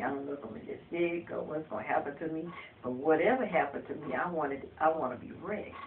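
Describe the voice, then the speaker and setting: Very fast pace over noticeable background noise. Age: 60s. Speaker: counseling client. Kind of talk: counseling session.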